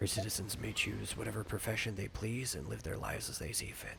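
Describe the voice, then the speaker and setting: Using a put-on character voice, a man talks at a very fast pace and a fairly low pitch. Clear background noise can be heard. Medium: game stream. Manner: courteous, slightly formal.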